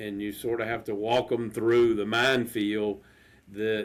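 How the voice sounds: A man talks at a fairly low pitch. There is little pitch movement in his voice. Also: fairly slow pace.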